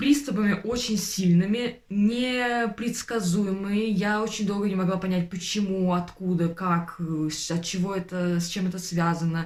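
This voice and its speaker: A woman with a somewhat breathy voice speaks at a medium pitch and a moderate pace, with ordinary pitch variation. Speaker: vlogger, former tutor. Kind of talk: personal vlog monologue. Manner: hesitant, many filler sounds.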